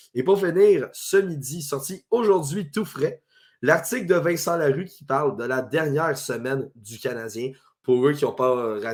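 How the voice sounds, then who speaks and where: A man with a Quebec accent speaks at a fairly slow pace with ordinary pitch variation, in a very clean recording with a silent background. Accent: Québécois French. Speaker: sports podcast host. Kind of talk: sports talk show. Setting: Facebook live stream.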